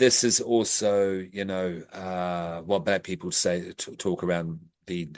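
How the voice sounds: Speaking slowly, a man with a low pitch shows little pitch movement.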